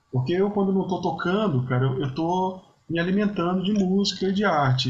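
Lively in intonation, a man speaks fairly slowly with audible room echo around him. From Brazil, Espírito Santo (Vitória). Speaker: podcast host, musician. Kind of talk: casual interview chat. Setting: remote call Brazil-Portugal.

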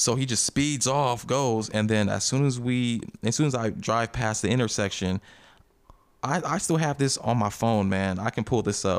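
A man talks at a moderate pace and medium pitch, with ordinary pitch variation. His is an ordinary speaking voice, with very even loudness. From Colorado, US (born in Liberia, moved at two). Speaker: actor. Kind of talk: casual chat.

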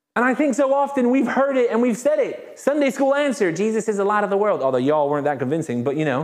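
A man with a high pitch and an animated tone, very fast and with hardly any pauses, his pitch swinging very widely while his loudness stays very even. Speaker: pastor. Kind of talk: sermon. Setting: church.

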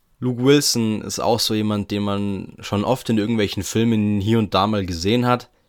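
This is an ordinary speaking voice: a man with a fairly low pitch and fairly even intonation, talking at a moderate pace. The recording is very clean, the background silent. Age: 20s. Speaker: podcast host. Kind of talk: solo podcast monologue. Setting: attic room at home. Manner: casual, chatty.

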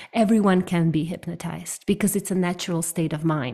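The recording is very clean with a silent background. A woman talks at a moderate pace in a medium pitch. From Ukraine. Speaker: hypnotherapist. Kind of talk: interview.

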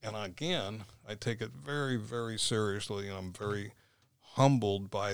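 A man with an American accent speaks at a moderate pace in an ordinary speaking voice, pitched fairly low. The recording is very clean, with a silent background. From Florida, St. Petersburg. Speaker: former police officer and property developer. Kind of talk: casual interview. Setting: studio.

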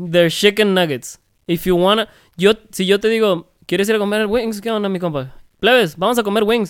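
Very fast speech from a man with a high pitch and ordinary pitch variation. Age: 30s. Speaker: podcast co-host. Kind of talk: casual chat. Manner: animated.

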